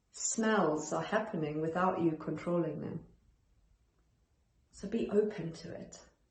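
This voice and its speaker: In a room with audible echo, a woman with a fairly low pitch talks at a fairly slow pace, with ordinary pitch variation, big swings in loudness, and long, frequent pauses. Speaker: perfectionism coach. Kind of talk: self-help talk to camera. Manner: calm, centered.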